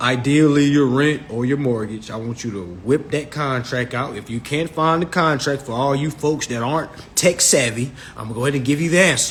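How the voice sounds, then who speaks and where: A man's fairly high, animated voice with an American accent, ordinary pitch variation and a fairly quick pace over noticeable background noise. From Virginia, US. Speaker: social media live host on consumer finance. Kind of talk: live stream talk. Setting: Instagram live stream.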